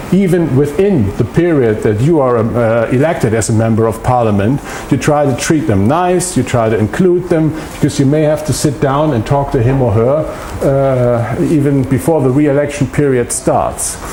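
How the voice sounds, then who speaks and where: A man with a German accent speaks at a moderate pace and a fairly high pitch, with ordinary pitch variation and very even loudness. Noticeable background noise and audible room echo are present. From Germany. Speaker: political science professor. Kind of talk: lecture. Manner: halting, many fillers.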